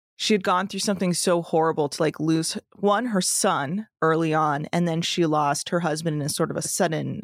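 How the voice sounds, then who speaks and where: With an American accent, a woman talks at a moderate pace. Her pitch is fairly low, with ordinary variation. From US, Bay Area of California. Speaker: comedy producer and podcast host. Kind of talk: casual interview chat.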